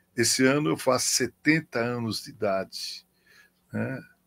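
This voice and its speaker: A man at a very slow pace in a very clean recording with a silent background. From Brazil, São Paulo. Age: 60s. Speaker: pastor. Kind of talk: interview.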